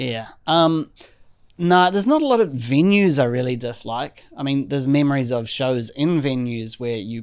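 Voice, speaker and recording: At a moderate pace, a man with a New Zealand accent talks with lively intonation. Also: fairly high pitch for a man. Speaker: drummer. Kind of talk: casual chat.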